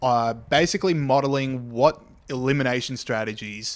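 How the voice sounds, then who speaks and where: A man with an Australian accent talks at a medium pitch with fairly even intonation. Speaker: podcast host. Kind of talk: casual chat. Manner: fast.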